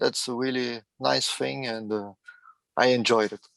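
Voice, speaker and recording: The speaker talks with a non-native accent. The pace is fairly slow. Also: man. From France. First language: French. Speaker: truck enthusiast guest. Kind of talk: casual interview chat. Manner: halting, many fillers.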